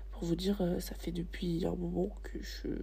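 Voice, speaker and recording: A woman is speaking. There is audible room echo. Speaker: student podcaster. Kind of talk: personal monologue. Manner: halting. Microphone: poor microphone quality.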